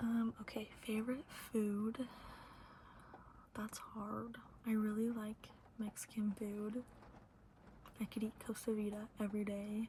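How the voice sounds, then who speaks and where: A soft-spoken whisper at a fairly slow pace, broken by long, frequent pauses. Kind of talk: ASMR Q&A ramble to camera. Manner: whispered, soft-spoken.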